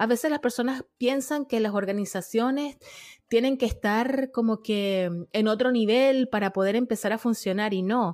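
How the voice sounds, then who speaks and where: In a very clean recording with a silent background, a woman with a plain, everyday voice and a fairly high pitch speaks at a moderate pace, with very even loudness and ordinary pitch variation. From Venezuela, Margarita Island. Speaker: podcaster. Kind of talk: interview conversation.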